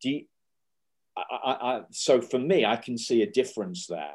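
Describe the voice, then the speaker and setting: With lively intonation, a man delivers his words fairly slowly. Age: 50s. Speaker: podcast host, adoptee. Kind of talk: casual interview chat.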